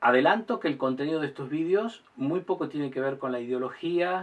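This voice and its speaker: The clip has an ordinary speaking voice at a moderate pace. Its pitch varies in an ordinary way. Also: man. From Argentina. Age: 60s. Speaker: lawyer and political commentator. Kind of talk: monologue to camera. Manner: formal.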